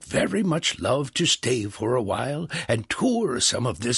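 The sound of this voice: This is an unforced reading voice. The text is read in it throughout.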